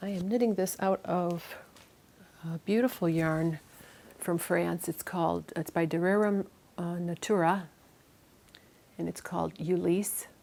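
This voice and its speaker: A woman with an American accent, fairly low pitch and dark, mellow tone, at a fairly slow pace with fairly even intonation and long, frequent pauses. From US Midwest, Chicago. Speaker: knitting and spinning vlogger. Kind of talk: casual vlog chat. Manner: many fillers and false starts.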